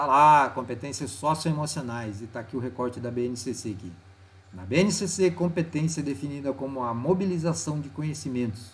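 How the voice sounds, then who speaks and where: A somewhat breathy man speaks at a medium pitch and a moderate pace. His pitch swings very widely. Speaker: teacher. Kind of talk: tutorial. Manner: casual.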